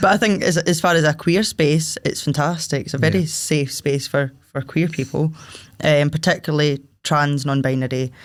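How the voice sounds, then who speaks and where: The speaker talks at a moderate pace in a Scottish accent. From Paisley, Scotland. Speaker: singer-songwriter, drummer and club promoter. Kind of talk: interview answer. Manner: casual, chatty.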